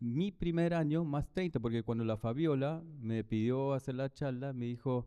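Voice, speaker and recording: Speaking at a fairly slow pace with a German accent, a man of medium pitch has a dark, mellow tone and ordinary pitch variation. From Germany. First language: German (speaking Spanish). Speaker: architect and professor. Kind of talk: lecture presentation. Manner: halting, many fillers.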